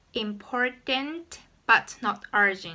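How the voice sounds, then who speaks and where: Very slow speech with a Japanese accent, lively intonation and a bright, sharp tone. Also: woman. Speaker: YouTuber. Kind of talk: tutorial.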